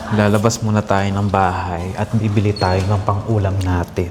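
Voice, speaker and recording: Against noticeable background noise, a man with a fairly low pitch speaks at a fairly slow pace with ordinary pitch variation. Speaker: vlogger. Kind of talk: casual vlog house tour. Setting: indoors at home, then outdoors to supermarket. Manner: soft-spoken, quiet.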